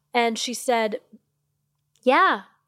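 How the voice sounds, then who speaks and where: A woman with a high voice and an American accent speaks on a very clean recording with a silent background. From US Midwest (Missouri). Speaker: marketing executive. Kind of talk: interview. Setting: podcast lounge at a marketing event. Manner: animated, passionate.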